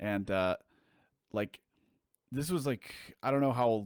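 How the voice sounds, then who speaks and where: With an American accent and an ordinary speaking voice, a man talks at a fairly quick pace and ordinary pitch variation, captured in a very clean, dry, close recording with no echo and a silent background. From southern California. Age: 30s. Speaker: musician. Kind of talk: casual chat. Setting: live stream.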